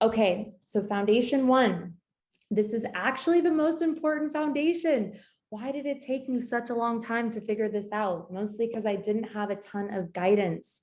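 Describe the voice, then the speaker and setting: Lively intonation from a woman at a moderate pace, her voice fairly high and somewhat breathy. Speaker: business coach. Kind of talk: live webinar masterclass. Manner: animated.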